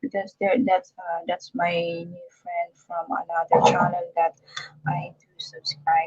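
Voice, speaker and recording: In a Filipino accent, a woman speaks at a fairly slow pace, the sound dry and close with no echo. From Philippines. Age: 60s. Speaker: vlogger. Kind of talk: live stream chat. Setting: live stream on phone. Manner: halting.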